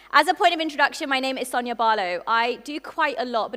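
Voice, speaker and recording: Animated and high-pitched, a woman with a British accent talks at a very fast pace in a bright, sharp tone with ordinary pitch variation. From UK. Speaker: entrepreneur and conference speaker. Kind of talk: conference keynote talk. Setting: stage with audience. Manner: fast when passionate; animated, engaging the audience.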